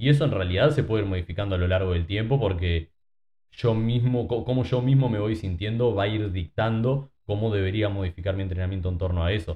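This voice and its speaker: Using a plain, everyday voice, the speaker goes at a fairly quick pace with ordinary pitch variation. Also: man, fairly low pitch for a man. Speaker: fitness coach. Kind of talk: casual chat.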